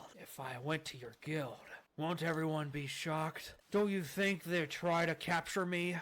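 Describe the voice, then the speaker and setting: A raspy, put-on character voice sits at a middle pitch. It moves at a moderate pace on a very clean recording with a silent background. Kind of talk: reading game dialogue aloud in character voices.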